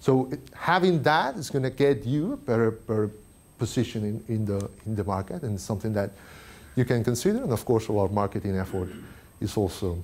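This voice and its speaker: The speaker has a non-native accent and talks at a fairly quick pace. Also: man. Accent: foreign. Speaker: tech industry speaker. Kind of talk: conference talk. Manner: halting, many fillers.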